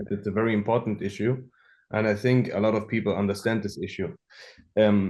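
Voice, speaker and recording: Against a quiet background, a man with a German accent speaks at a fairly quick pace and fairly low pitch, his intonation fairly even. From Germany, Hamburg. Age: 20s. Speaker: app developer. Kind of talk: podcast interview. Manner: halting, many fillers.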